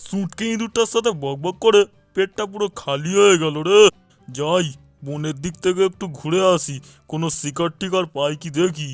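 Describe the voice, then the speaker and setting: A man uses a high-pitched, cartoonish character voice over faint music in the background. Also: moderate pace. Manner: loud, gruff.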